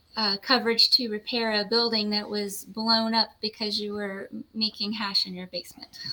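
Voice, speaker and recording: A woman with an American accent, fairly high in pitch and monotone, flat in intonation, at a moderate pace with hardly any pauses, over noticeable background noise. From US South. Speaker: lawyer. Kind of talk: interview.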